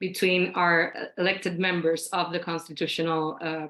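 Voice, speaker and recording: A woman's fairly low pitch in a bright, sharp tone, with monotone, flat intonation at a fairly slow pace. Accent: Spanish. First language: Spanish. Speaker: think tank director. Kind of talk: panel discussion. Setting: video call.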